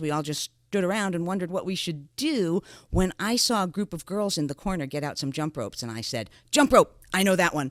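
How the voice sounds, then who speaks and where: A woman's fairly low voice in an American accent, very wide in pitch swings and fairly quick in pace, dry and close with no echo in a very clean recording with a silent background. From New York area. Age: 60s. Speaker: podcast co-host. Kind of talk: personal storytelling in a podcast.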